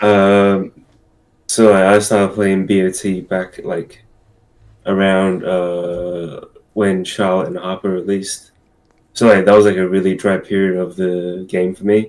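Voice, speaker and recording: This man has a very deep, low pitch. He talks at a fairly slow pace with monotone, flat intonation. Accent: Australian. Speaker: gaming content creator, game player. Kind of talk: casual interview. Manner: hesitant.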